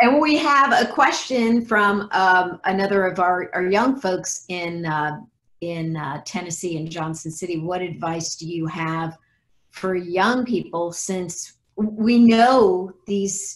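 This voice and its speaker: This woman speaks at a very slow pace in a medium pitch. Her intonation is lively, and her loudness swings widely. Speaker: nonprofit president and moderator; moderator. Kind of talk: webcast moderation. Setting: video call. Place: home room. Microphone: video call.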